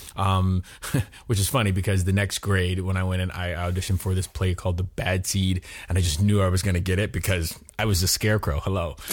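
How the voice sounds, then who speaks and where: Talking at a very fast pace, this man has a very deep, low pitch, a somewhat breathy voice, very even loudness and a monotone, flat intonation. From US, Miami, Florida. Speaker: actor. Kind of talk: interview.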